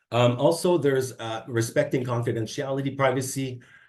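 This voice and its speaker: Over a quiet background, a man talks at a fairly quick pace in a somewhat breathy voice with a dark, mellow tone. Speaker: public service presenter on workplace ethics. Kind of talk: online training presentation.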